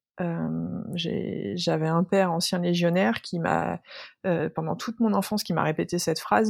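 On a very clean recording with a silent background, a woman speaks with a fairly low pitch and lively intonation. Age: 30s. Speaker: workplace wellbeing consultant and speaker. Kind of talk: casual interview. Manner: halting with many repetitions.

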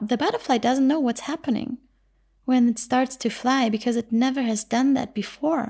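Over a silent background in a very clean recording, a woman with a high pitch and a dark, mellow tone talks at a moderate pace, her loudness very even and her intonation fairly even. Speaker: podcast host and spiritual teacher. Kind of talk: reflective monologue. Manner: unscripted, flowing.

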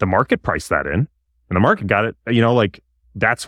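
A man's fairly quick speech with vocal fry, dry and close with no echo, over a quiet background. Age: 30s. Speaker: investment firm executive. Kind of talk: interview.

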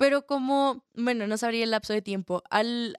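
In a very clean recording with a silent background and a dry, close sound with no echo, a woman with a slight Colombian accent speaks at a fairly slow pace, her fairly high pitch showing ordinary variation. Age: young. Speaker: theatre student and call center agent. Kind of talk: interview.

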